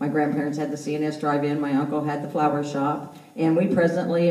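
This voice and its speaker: Over noticeable background noise and audible room echo, a woman speaks in a very deep, low voice with monotone, flat intonation. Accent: American. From southeast Kansas. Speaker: candidate, retired teacher. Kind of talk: campaign speech. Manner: loud. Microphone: speaking without a microphone.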